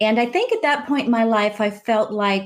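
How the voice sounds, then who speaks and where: In an unremarkable speaking voice, a woman talks at a moderate pace with a fairly high pitch. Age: 40s. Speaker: life coach. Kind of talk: casual chat.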